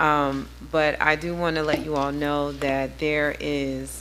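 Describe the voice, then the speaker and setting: A woman speaks with audible room echo and music playing in the background. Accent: American. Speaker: city council member. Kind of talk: council meeting remarks.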